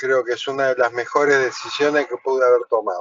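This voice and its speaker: This man has an unremarkable speaking voice, pitched in the medium range, with fairly even intonation and a moderate pace. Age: 60s. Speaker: truck driver, course student. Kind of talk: self-introduction in online class. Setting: video call from parked truck on highway.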